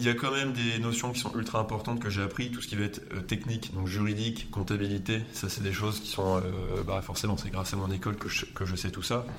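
There's audible room echo and noticeable background noise behind a man with a fairly low pitch. He talks at a fairly quick pace with hardly any pauses and fairly even intonation. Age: 20s. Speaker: entrepreneur. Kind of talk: interview.

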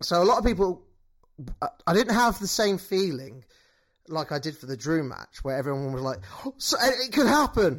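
In a very clean recording with a silent background, a man with a British accent speaks at a moderate pace, his high pitch making very wide swings amid big swings in loudness. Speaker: wrestling podcast co-host. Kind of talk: casual chat.

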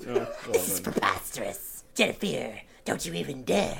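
Someone does a put-on character voice at a moderate pace, with clear background noise. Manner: theatrical, flattering, indignant.

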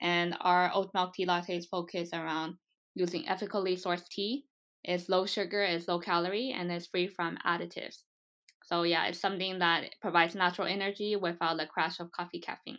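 An ordinary speaking voice, a woman with an American accent, fairly low in pitch, at a fairly quick pace with fairly even intonation, over a quiet background. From US, Taiwanese American. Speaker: food startup founder. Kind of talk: interview.

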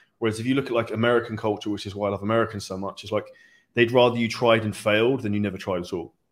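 Recorded very cleanly against a silent background, a man with a British accent talks very fast at a fairly low pitch in a flat monotone. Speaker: online fitness coach and entrepreneur. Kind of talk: interview.

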